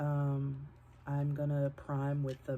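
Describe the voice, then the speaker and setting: A woman speaks over noticeable background noise. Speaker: vlogger. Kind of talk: casual vlog talk. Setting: at home. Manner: quiet, keeping voice down.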